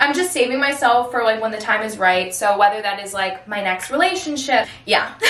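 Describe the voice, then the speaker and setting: Amid noticeable background noise and audible room echo, a woman speaks in a fairly high, animated voice with ordinary pitch variation. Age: 20s. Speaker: influencer and performer. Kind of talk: casual chat. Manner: loud.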